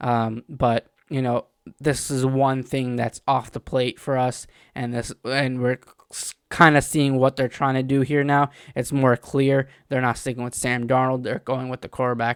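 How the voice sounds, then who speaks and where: Mumbling, a man speaks in a monotone with flat intonation. The sound is dry and close with no echo, on a very clean recording with a silent background. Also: medium pitch for a man, moderate pace. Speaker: sports fan video host. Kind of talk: casual commentary monologue. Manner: halting, many fillers.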